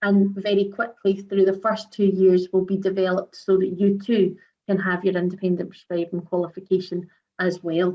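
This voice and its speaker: The speaker has a Scottish accent and a monotone, flat intonation. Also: woman, medium pitch for a woman. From Scotland. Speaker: pharmacy regulator director. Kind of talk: webinar presentation. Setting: online webinar. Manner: fast.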